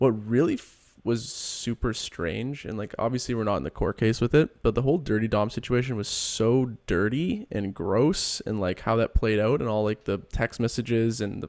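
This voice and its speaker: In a very clean recording with a silent background, a man mumbles at a moderate pace and medium pitch, with ordinary pitch variation and hardly any pauses. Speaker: podcast co-host. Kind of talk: casual chat. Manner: mumbling.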